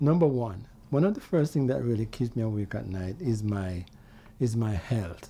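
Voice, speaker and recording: A man's medium-pitched, somewhat breathy voice with a dark, mellow tone, lively intonation and a moderate pace. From Jamaica. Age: 60s. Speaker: vlogger. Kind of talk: casual monologue. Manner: halting.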